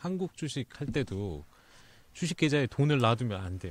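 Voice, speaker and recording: A man's voice with very wide pitch swings, in a very clean recording with a silent background. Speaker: finance team manager. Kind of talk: casual expert discussion on market selloff. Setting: recording studio.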